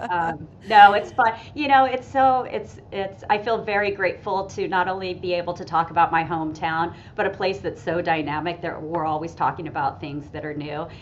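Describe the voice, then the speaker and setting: A fairly low-pitched woman's voice with an American accent, lively intonation and hardly any pauses. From Las Vegas, US. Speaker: tourism PR director. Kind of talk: podcast interview. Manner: fast.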